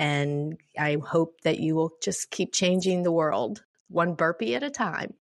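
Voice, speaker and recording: Against a quiet background, a woman speaks at a fairly slow pace and fairly low pitch with an animated tone and lively intonation. Her loudness stays very even. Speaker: podcast host, fitness trainer. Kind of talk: casual interview. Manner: animated, laughs often.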